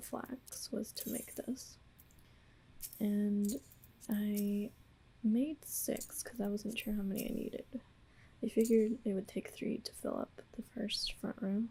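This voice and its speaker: The speaker is soft-spoken and talks at a fairly slow pace. Long, frequent pauses break up the speech. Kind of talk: ASMR gameplay voiceover.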